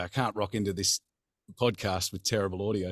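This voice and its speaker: A man with an Australian accent at a fairly quick pace, in a dry, close sound with no echo on a very clean recording with a silent background. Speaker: voice actor. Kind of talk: interview answer. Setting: home studio. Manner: upbeat, hearty.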